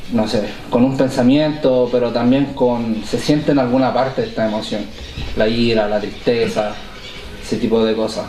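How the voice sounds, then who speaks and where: A man's medium-pitched voice at a moderate pace, fairly even in intonation, with audible room echo and noticeable background noise. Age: 20s. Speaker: recovering addict in a community podcast. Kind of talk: casual podcast conversation.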